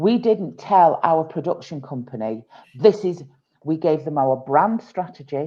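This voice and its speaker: The speaker has a northern English accent and lively intonation. The delivery is fairly slow. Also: woman. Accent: gruff northern English. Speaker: tutoring business founder. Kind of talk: podcast interview.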